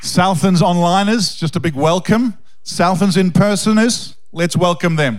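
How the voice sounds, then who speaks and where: Over noticeable background noise and audible room echo, a man speaks loudly at a fairly slow pace, his voice high with ordinary pitch variation. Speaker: pastor. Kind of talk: sermon introduction. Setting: church. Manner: intense and loud.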